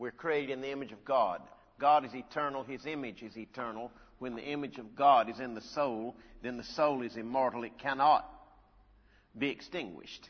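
A man has an unremarkable speaking voice at a medium pitch. He talks at a fairly quick pace with fairly even intonation and big swings in loudness. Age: 60s. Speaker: preacher. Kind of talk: sermon. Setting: church.

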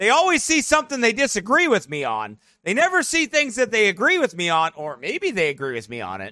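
Raised and projected, a man's high-pitched voice sounds animated, with very wide pitch swings, big swings in loudness, a fairly quick pace and hardly any pauses. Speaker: pastor. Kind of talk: live-streamed preacher commentary, opinionated rant. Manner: animated, opinionated.

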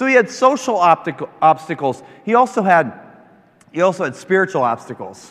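Amid noticeable background noise, a man with an American accent speaks in an animated tone at a high pitch and moderate pace, with very wide pitch swings. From rural Kansas, US. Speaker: preacher. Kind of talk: sermon. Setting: stage with audience.

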